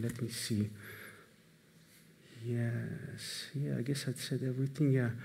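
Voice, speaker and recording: A man with a non-native accent speaks at a fairly slow pace with fairly even intonation. Audible room echo surrounds him. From Iran, then Netherlands. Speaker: moderator. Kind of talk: event moderation to live audience. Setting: stage with audience. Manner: hesitant, many fillers.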